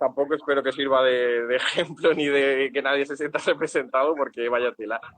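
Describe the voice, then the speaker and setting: At a fairly quick pace, the clip carries an ordinary speaking voice. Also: man. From Andalusia, Spain (Úbeda, Jaén). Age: 20s. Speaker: tenant on rent strike. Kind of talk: interview.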